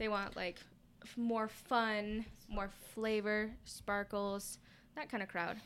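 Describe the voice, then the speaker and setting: Very slow and broken by long, frequent pauses, a woman's speech comes at a fairly high pitch with monotone, flat intonation. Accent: Californian. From Southern California (Lancaster). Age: 20s. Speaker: small business owner. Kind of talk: casual interview chat.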